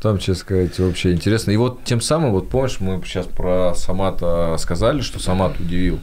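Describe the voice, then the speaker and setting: At a moderate pace and with hardly any pauses, a man talks in a very deep, low pitch with ordinary pitch variation. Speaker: podcast host. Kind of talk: casual interview. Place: studio. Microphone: studio mic.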